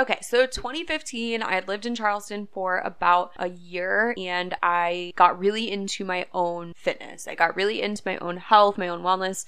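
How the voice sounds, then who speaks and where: A woman with an American accent speaks at a moderate pace, her tone bright and sharp. Her pitch sits in the medium range with ordinary variation, and she hardly pauses at all. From upstate New York. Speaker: social media manager and podcast host. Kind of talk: casual monologue.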